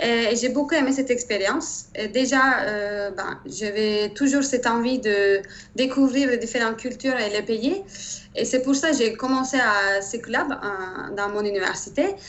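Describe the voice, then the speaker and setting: A woman's fairly high-pitched voice at a fairly slow pace, ordinary pitch variation, with a slight Turkish accent. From Turkey. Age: 30s. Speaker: engineer. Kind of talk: interview. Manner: hesitant, many fillers.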